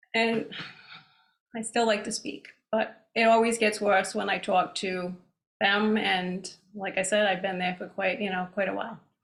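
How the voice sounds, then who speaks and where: A woman of medium pitch talks at a moderate pace with a Rhode Island accent. Her intonation is fairly even, broken by long, frequent pauses. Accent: Rhode Island accent, stronger than usual now. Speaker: plant society speaker. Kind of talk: lecture. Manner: casual, hesitant with ums.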